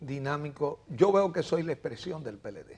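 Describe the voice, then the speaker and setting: At a fairly slow pace, the speaker talks in a somewhat breathy voice. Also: man. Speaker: mayoral candidate, biologist. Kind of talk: interview.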